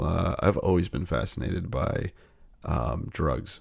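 The voice has vocal fry. It moves at a fairly slow pace. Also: man. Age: 30s. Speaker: filmmaker. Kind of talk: casual chat.

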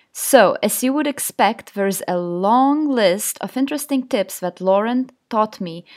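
A woman speaks at a fairly slow pace in a plain, everyday voice. The recording is very clean, the background silent. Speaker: podcast host and food photographer. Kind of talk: casual interview chat.

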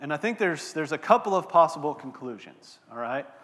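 In a Texan accent, a man with a fairly high pitch swings very widely up and down in pitch. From Texas, Abilene. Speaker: pastor. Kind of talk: sermon. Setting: church.

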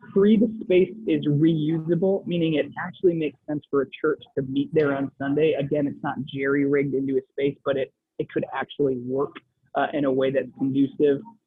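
A man with an American accent and an ordinary speaking voice, fairly high in pitch, with ordinary pitch variation at a moderate pace. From Wisconsin, US Midwest. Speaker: faith-based business entrepreneur. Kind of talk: interview. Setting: coffee shop.

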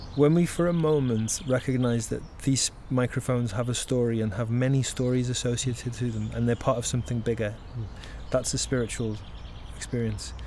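A man's dark, mellow, somewhat breathy voice moves at a fairly quick pace, with a medium pitch and fairly even intonation. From northern England, Birkenhead. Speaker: leadership and nature facilitator. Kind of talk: interview conversation. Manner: halting, repeats words.

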